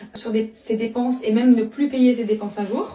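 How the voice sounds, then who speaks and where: A woman's high voice at a moderate pace, with noticeable background noise. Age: 30s. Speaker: network marketing member and school assistant. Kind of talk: interview testimony. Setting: interview. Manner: hesitant, many fillers.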